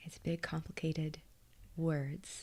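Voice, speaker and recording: Her voice is somewhat breathy. The woman whispers at a fairly slow pace. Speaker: hypnotist and meditation guide. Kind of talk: ASMR live stream. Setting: live stream. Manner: whispering.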